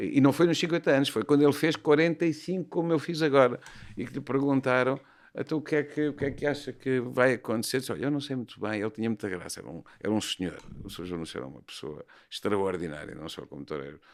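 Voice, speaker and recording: Very fast and lively in intonation, a man speaks at medium pitch with vocal fry and big swings in loudness. The recording is very clean, the background silent. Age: 60s. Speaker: bullfighting horseman and horse trainer. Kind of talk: podcast interview. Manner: hesitant, with fillers and repetitions.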